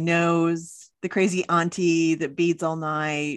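With an American accent, a woman talks in a plain, everyday voice, her fairly low pitch carried by fairly even intonation. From Oklahoma. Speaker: podcast host. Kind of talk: casual chat.

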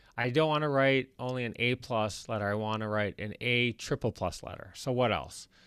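The recording is very clean with a silent background, carrying a man with a plain, everyday voice, medium pitch and ordinary pitch variation. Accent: American. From Michigan, US Midwest (Detroit). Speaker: investor and entrepreneur. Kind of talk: interview.

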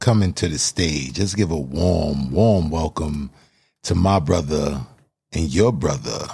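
A man speaks at a fairly slow pace with a very deep, low pitch and a dark, mellow tone. His voice carries vocal fry and ordinary pitch variation. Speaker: podcast host and spoken word poet. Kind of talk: panel discussion moderating, with upbeat motivational intro and outro. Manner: warm, energetic, encouraging.

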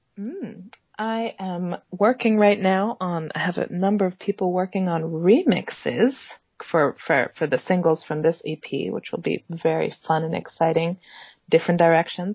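A woman with an American accent talks at a moderate pace in a fairly low pitch. Her voice is somewhat breathy, with ordinary pitch variation. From Italy and US, mixed upbringing. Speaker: jazz singer-songwriter. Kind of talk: interview.

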